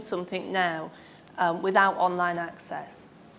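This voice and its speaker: A woman speaks with a northern English accent. Background noise is noticeable, and room echo can be heard. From northern England. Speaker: former IT executive, panellist. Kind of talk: panel discussion.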